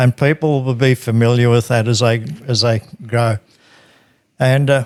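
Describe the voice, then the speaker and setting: A man's medium-pitched voice with monotone, flat intonation and very even loudness at a moderate pace, in a dry, close sound with no echo. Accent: Australian. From Australia, rural New South Wales. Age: 60s. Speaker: funeral industry worker. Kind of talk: interview, life story.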